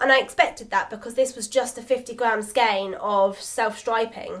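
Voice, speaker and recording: A woman speaks with a British accent. Her pitch is high. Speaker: knitting podcaster. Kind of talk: casual chat. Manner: chatty, rambling flow.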